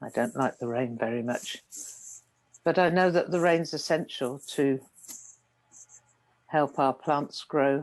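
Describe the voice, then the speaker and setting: With a British accent, a woman speaks at a very deep, low pitch and fairly slow pace, with ordinary pitch variation, long, frequent pauses and a quiet background. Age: 70s. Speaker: meditation teacher. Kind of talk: dharma talk. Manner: calm, gentle.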